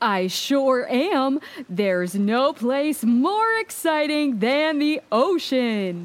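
A woman does a put-on character voice, high in pitch and very slow. Her pitch swings up and down in big jumps.

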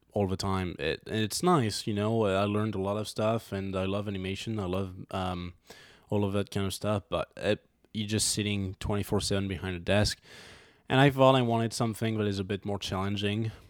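A man with a French accent and a fairly low pitch talks at a fairly quick pace with fairly even intonation. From France, near Valence. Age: 20s. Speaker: filmmaker. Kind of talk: casual interview chat. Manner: halting, many fillers.

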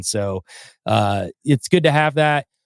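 In a Southern US accent, a man speaks with lively intonation in a dry, close sound with no echo. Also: very clean recording, silent background. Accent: Southern US (Georgia). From US South, North Georgia mountains. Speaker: podcaster and musician. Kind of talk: casual interview chat.

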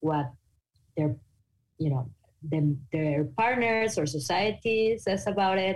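In a Mexican accent, a woman speaks at a fairly slow pace with a somewhat breathy voice. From Mexico. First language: Spanish. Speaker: podcaster on non-monogamy. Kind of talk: interview conversation. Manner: articulate.

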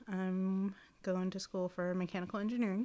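A woman speaks at medium pitch. Her pace is fairly slow. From Seminole, Oklahoma. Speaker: native fashion designer. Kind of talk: casual chat.

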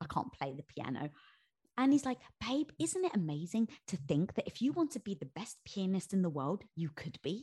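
On a very clean recording with a silent background, a woman's somewhat breathy voice sits fairly low in pitch and swings very widely. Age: 40s. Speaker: author. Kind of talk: casual chat.

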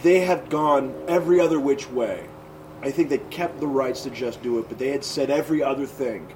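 A man with an American accent speaks at a fairly high pitch. Noticeable background noise runs underneath. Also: ordinary pitch variation, fairly quick pace. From Tennessee/Kentucky border, US South. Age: 30s. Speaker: comedian. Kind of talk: casual chat. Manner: animated.

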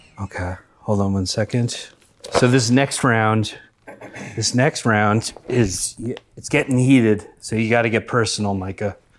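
A man with a plain, everyday voice speaks at a fairly slow pace, his medium pitch held in a fairly even intonation. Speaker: comedy podcast host. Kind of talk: comedic improv banter. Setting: recording with microphone.

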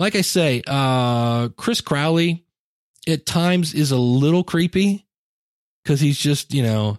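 A man speaks slowly at a fairly high pitch, his intonation lively. The recording is very clean, with a silent background.

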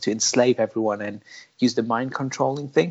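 This is a man with an ordinary speaking voice and a medium pitch. He talks at a fairly quick pace with fairly even intonation. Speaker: podcast host. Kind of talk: casual chat podcast.

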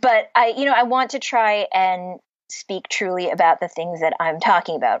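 In a normal speaking voice, a woman with an American accent talks at a moderate pace. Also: fairly high pitch for a woman, lively intonation. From US Midwest (Cleveland, Ohio). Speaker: novelist. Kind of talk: interview.

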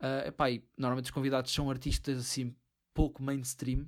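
This man's voice sits at a medium pitch. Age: 20s. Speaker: film podcast co-host. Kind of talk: casual chat.

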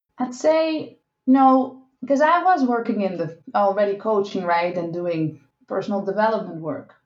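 Very wide pitch swings from a woman with a Dutch accent, fairly high pitch, and a moderate pace. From Netherlands. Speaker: sex and relationship coach. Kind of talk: interview.

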